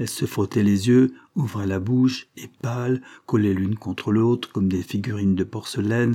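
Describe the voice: Simple, plain reading aloud of a text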